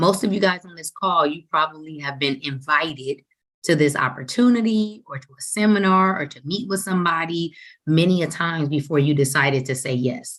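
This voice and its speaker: Her voice is animated, fairly quick, and marked by big swings in loudness. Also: fairly low pitch for a woman, ordinary pitch variation. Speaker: financial services trainer. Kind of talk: training webinar. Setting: group call. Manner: fast.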